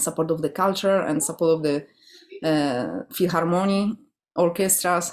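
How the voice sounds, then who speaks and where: A woman with a Polish accent speaks in a fairly low voice with ordinary pitch variation. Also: moderate pace. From Poland. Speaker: classical guitarist and guitar orchestra director. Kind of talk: interview.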